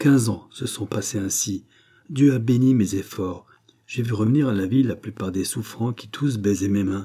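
The speaker does plain reading aloud with ordinary pitch variation.

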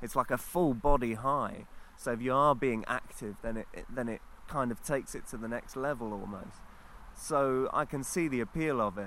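A man's bright, sharp, medium-pitched voice with a London accent. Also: ordinary pitch variation, moderate pace. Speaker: visiting guest. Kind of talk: casual chat. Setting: outdoors.

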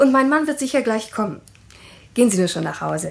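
In a put-on character voice, a woman with fairly high pitch and vocal fry talks at a fairly quick pace with big pitch swings.

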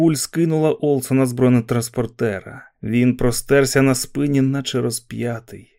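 Unforced reading from a single voice

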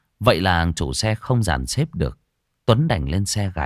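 This is plain reading aloud. There is a quiet background.

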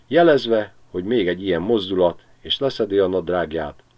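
What you hear is an unforced reading voice.

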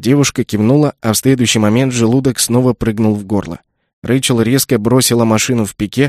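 It is plain reading aloud. The background is quiet.

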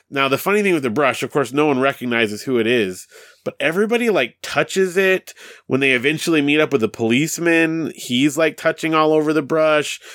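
In an animated, upbeat tone, a man with a fairly high pitch and lively intonation talks at a fairly quick pace, his loudness very even. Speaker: podcast host. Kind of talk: casual chat.

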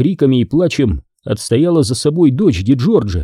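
The reading voice is unforced, and the background stays quiet.

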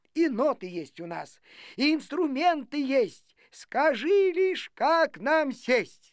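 A woman's put-on character voice, high-pitched and slow, with big swings in pitch.

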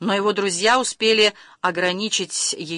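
Intonation holds fairly even here. Someone is reading aloud in a natural voice.

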